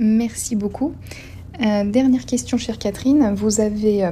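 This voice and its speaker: Noticeable background noise sits behind a woman who speaks at a fairly slow pace with ordinary pitch variation. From Normandy, Seine-Maritime. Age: 20s. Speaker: human resources worker. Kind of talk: interview questions. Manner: formal.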